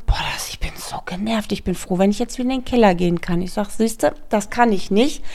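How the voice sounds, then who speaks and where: A woman talks in a normal speaking voice at a moderate pace with a fairly high pitch. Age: 40s. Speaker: podcast co-host, mother of eight. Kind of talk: casual chat.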